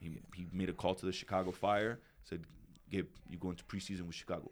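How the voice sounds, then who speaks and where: A very deep, low male voice with an American accent, a fairly quick pace, fairly even intonation and long, frequent pauses. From New York City. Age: 30s. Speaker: retired pro footballer and coach. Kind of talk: casual chat.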